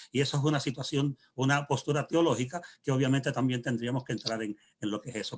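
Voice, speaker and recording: A man with a fairly high, somewhat breathy voice talks at a fairly quick pace with ordinary pitch variation. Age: 60s. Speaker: pastor. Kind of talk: panel discussion. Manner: halting.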